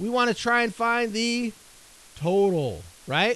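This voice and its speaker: A man's voice with ordinary pitch variation. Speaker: school teacher. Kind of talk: classroom lesson. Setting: classroom, live with students.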